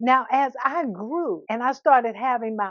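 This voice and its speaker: Speaking at a moderate pace in an American accent, a woman has an unremarkable speaking voice with lively intonation. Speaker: minister and speaker. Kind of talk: inspirational talk to camera.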